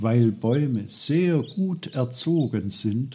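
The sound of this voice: Lively intonation in a reading voice that sounds unforced.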